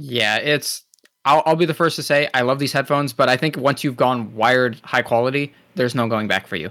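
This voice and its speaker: Bright and sharp in tone, a man with an American accent talks at a fairly quick pace. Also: medium pitch for a man, ordinary pitch variation. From New Jersey. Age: 20s. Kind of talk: casual chat. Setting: video call.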